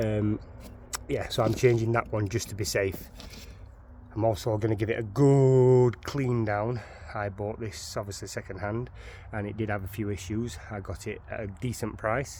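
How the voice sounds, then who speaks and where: With a strong Sheffield accent, a man speaks at a moderate pace with fairly low pitch and fairly even intonation. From northern England, Sheffield. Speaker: DIY car enthusiast. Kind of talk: tutorial. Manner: halting.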